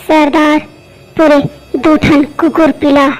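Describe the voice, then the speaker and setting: A woman does a cartoonish character voice at a high pitch with monotone, flat intonation. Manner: lisping, timid.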